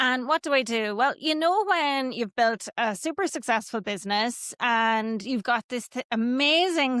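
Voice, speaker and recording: A woman speaks in a high pitch with an Irish accent, her tone bright and sharp, at a moderate pace with ordinary pitch variation. The recording is very clean with a silent background, and the sound is dry and close with no echo. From Ireland, Kilkenny. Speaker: business coach. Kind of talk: podcast interview.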